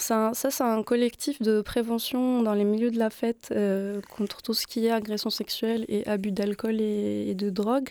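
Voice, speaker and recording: A woman speaks fairly slowly in a fairly high, dark and mellow voice. Her loudness stays very even and her intonation is monotone and flat. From Morocco. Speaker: musician and DJ. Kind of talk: casual interview. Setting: radio studio.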